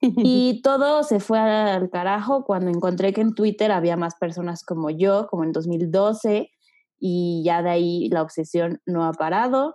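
Against a quiet background, a woman with an unremarkable speaking voice talks at a fairly slow pace. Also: medium pitch for a woman, lively intonation. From Mexico City. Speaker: podcast host. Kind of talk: casual chat, podcast trailer.

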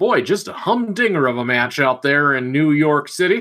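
A Midwestern accent in a very clean recording with a silent background. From Missouri. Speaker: rugby podcast co-host. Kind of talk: casual chat.

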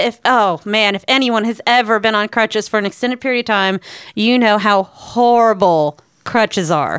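This woman has a normal speaking voice, fairly high in pitch. She talks at a moderate pace with lively intonation. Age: 30s. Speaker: podcast co-host, works with songwriters. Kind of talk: casual chat.

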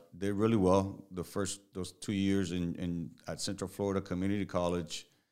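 This man has a very deep, low voice and a Spanish accent. He talks at a moderate pace. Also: very clean recording, silent background. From Puerto Rico. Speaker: strength and conditioning coach. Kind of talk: casual interview chat.

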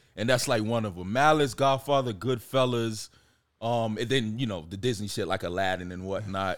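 With an American accent, a man speaks at a medium pitch and a moderate pace, with ordinary pitch variation. He has a normal speaking voice, and the recording is very clean with a silent background. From Miami, Florida (Jamaican parents). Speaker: independent filmmaker and screenwriter. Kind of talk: casual chat.

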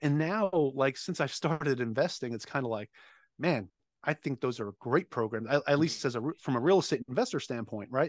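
A man with a plain, everyday voice speaks with an American accent at a fairly high pitch and a fairly quick pace. His intonation is lively, and the recording is dry and close with no echo against a quiet background. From Long Island, New York. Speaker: navy veteran and real estate investor. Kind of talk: casual interview.

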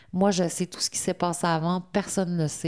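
A very clean recording with a silent background carries a dark, mellow tone delivered in a flat monotone. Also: woman. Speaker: women's centre worker. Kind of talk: interview testimony.

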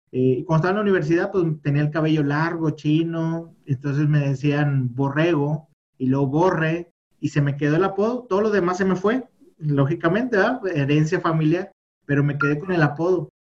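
Keeping his loudness very even, a man with a fairly high pitch speaks at a moderate pace with ordinary pitch variation. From northern Mexico, Monterrey. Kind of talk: interview testimony.

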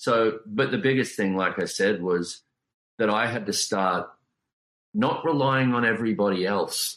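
A man with an Australian accent talks at a fairly low pitch with ordinary pitch variation. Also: very clean recording, silent background. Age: 40s. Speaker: author and life coach. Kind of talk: interview.

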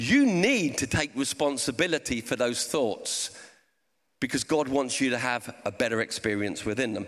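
A man with a Portsmouth accent, lively intonation, a fairly bright tone and a moderate pace. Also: medium pitch for a man. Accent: southern English, Portsmouth.

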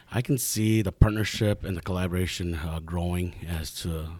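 A man speaks at a moderate pace with a very deep, low voice, an Upper Midwest accent and ordinary pitch variation, on a very clean recording with a silent background. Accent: Upper Midwest American. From Eau Claire, Wisconsin. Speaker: small business advisor. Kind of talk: interview. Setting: studio. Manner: hesitant with frequent fillers.

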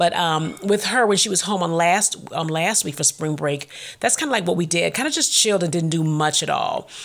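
Speaking in a plain, everyday voice, a woman keeps a moderate pace and a fairly low pitch, with her pitch varying in an ordinary way. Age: 40s. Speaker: faith podcast host. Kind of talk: casual monologue.

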